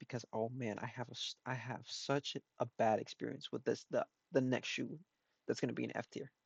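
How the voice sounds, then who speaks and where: Mumbled speech at a fairly quick pace. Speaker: shoe restorer. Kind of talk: tutorial. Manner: mumbling.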